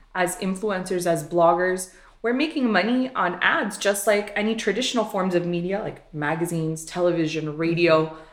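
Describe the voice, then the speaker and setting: A woman speaks at a moderate pace and medium pitch, with hardly any pauses. Audible room echo fills the recording. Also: ordinary pitch variation. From Miami, Cuban-American family. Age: 30s. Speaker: social media influencer and blogger. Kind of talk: interview.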